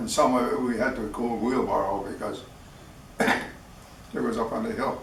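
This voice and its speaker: An American accent from a man, with noticeable background noise and audible room echo. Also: moderate pace. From US Midwest, Wisconsin. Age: 80s+. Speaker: war veteran. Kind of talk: interview.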